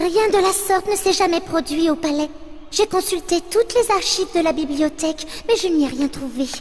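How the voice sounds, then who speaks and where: A female-sounding, put-on character voice is pitched extremely high for a woman and moves at a moderate pace. Clear background noise is present. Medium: fan dub. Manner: polite, regal.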